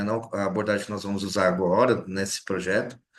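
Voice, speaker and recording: Audible room echo surrounds this man's voice. He speaks at a fairly quick pace. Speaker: lecturer. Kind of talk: lecture. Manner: fast.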